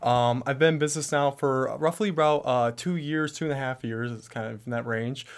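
Hardly any pauses from a man with fairly high pitch, ordinary pitch variation and a fairly quick pace. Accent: Upper Midwest. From Michigan, US Midwest. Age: 20s. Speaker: entrepreneur, business founder. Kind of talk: interview, personal story. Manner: hesitant, many fillers.

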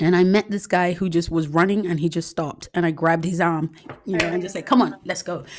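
This woman talks at a very fast pace with fairly even intonation. Her pitch sits fairly low. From Nigeria. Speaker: podcast host. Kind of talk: casual chat.

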